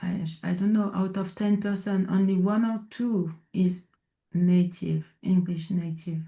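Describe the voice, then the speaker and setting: In a French accent, a woman speaks fairly slowly at a medium pitch, somewhat breathy, with a dark, mellow tone and monotone, flat intonation. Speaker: inclusion consultant. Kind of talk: interview conversation. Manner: halting, searching for words.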